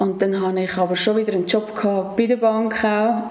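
A woman with a fairly high pitch talks at a moderate pace with fairly even intonation. Audible room echo and noticeable background noise come through. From Switzerland, Nidwalden (Stans). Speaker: hotel activities manager. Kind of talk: casual interview. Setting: office.

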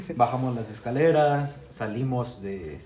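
The man's pitch varies in an ordinary way, with noticeable background noise and audible room echo around him. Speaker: guest, university student. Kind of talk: casual chat.

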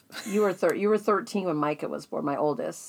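At a fairly quick pace, a woman talks in a medium pitch with vocal fry. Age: 50s. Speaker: guest, host's older sister. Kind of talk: casual chat.

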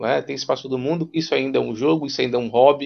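A man speaks at a medium pitch with vocal fry. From Rondônia, Brazil. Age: 30s. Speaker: psychologist and university lecturer. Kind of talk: casual chat.

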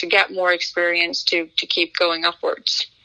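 A woman speaks with a Norwegian accent at a fairly low pitch. Her pace is moderate and her intonation monotone and flat. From Norway, town outside Oslo. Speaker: racing driver. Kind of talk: interview. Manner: halting, frequent repetitions.

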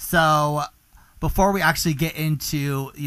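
In an American accent, a man speaks in an animated tone with ordinary pitch variation. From US South. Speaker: podcast host. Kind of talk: scripted podcast intro and casual show monologue. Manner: animated, campy, excitable.

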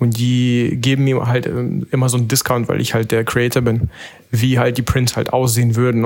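A man with an unremarkable speaking voice talks at a moderate pace with a medium pitch. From Berlin. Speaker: analog photographer. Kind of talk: casual chat.

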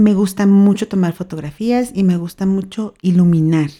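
A woman with a Mexican accent speaks at a fairly slow pace and medium pitch, her tone dark and mellow and her pitch variation ordinary. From Mexico, Baja California (Mexicali). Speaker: podcast host. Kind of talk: solo podcast monologue. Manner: cheerful, laughing.

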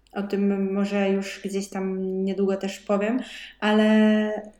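Audible room echo fills the space. A woman speaks in a dark, mellow tone. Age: 20s. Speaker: podcast co-host, dietitian. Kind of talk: casual chat.

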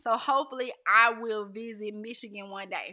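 A woman speaks in an animated, bright, sharp tone. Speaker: livestream host. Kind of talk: casual chat. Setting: Facebook Live stream.

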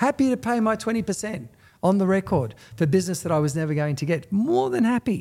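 On a very clean recording with a silent background, a man with an Australian accent speaks very fast in a high pitch, with a dark, mellow tone and very wide pitch swings. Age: 50s. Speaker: real estate salesperson. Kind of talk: talk in front of a live audience. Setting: real estate office with live audience.

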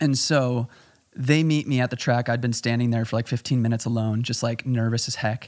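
With an American accent, a man talks at a fairly quick pace and a medium pitch. He has an ordinary speaking voice with fairly even intonation. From Chicago, US Midwest. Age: 20s. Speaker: photographer, filmmaker and amateur runner. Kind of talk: casual podcast interview.

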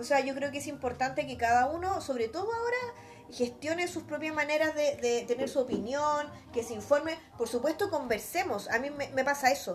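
A woman with a Chilean accent talks at a fairly quick pace, her pitch high and her intonation lively. Noticeable background noise runs underneath. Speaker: podcast co-host, lawyer. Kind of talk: casual chat.

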